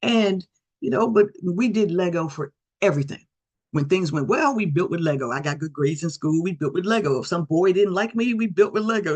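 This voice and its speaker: At a fairly quick pace, a woman with a fairly low pitch speaks with lively intonation. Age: 60s. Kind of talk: presentation. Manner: fast.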